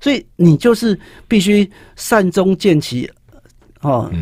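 A man's voice, dark and mellow in tone, dry with no echo, over a quiet background. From Taiwan. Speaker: high school teacher and author; guest, teacher. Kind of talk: interview about his book on writing. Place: studio. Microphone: studio mic.

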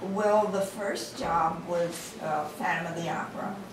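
A woman with an American accent talks at a fairly slow pace amid loud background noise and audible room echo. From Hollywood, California. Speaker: retired silent-era film actress. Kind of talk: interview answer. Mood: warm, reminiscing. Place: meeting room.

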